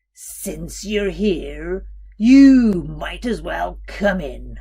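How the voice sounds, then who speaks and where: In a put-on character voice, a woman growls out croaky words at a very slow pace. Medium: read story. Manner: coaxing.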